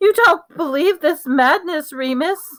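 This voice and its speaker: In a put-on character voice, a woman speaks at a fairly slow pace, shrill and extremely high-pitched. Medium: read story. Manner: panicky, frantic.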